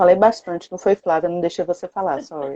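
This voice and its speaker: The sound of a woman's dark, mellow voice is dry and close, with no echo. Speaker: productivity coach and co-host of a live. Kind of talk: live stream talk. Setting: online live stream.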